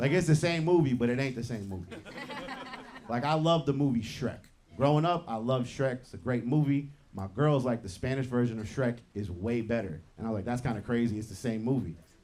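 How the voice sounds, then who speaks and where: With lively intonation, a man speaks at a fairly quick pace over noticeable background noise. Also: medium pitch for a man. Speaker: comedian. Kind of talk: stand-up.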